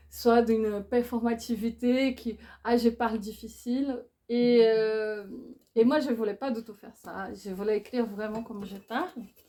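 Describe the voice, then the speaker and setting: Speaking at a fairly slow pace, a woman uses a fairly high pitch and fairly even intonation. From Brazil. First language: Portuguese (speaking French). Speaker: philosopher and author. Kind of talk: book talk interview. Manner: halting, with hesitations.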